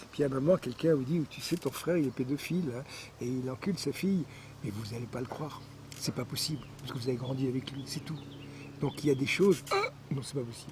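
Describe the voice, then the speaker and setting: A man with a fairly high voice talks fairly quickly, his pitch moving in an ordinary way, as noticeable noise sounds behind him. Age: 70s. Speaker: scientist and former aeronautical engineer. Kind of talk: interview.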